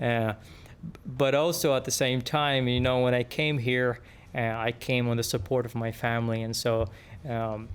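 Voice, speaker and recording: Music in the background behind a man at a medium pitch. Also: fairly even intonation, moderate pace. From Yemen. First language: Arabic. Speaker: engineer. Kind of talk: podcast interview. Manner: halting, many fillers and repeats.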